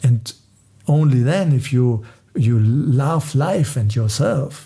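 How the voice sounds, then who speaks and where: A somewhat breathy voice with a dark, mellow tone and a non-native accent. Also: man. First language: not English. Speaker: spiritual musician. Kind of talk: talk on meditation. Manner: halting.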